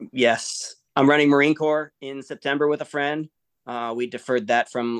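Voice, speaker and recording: Moderate pace and medium pitch from a man with a Midwestern US accent, fairly even intonation and a dry, close sound with no echo. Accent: General American, Midwestern. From Michigan. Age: 40s. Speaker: Air Force veteran and ultra-endurance athlete. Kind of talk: casual interview.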